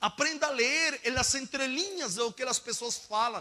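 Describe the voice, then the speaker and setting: In a raised, projected voice with a non-native accent, the speaker sounds animated, with very wide pitch swings and noticeable background noise. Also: man. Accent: foreign accent in Portuguese. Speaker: preacher. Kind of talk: sermon. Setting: church school with audience. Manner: fast when inspired.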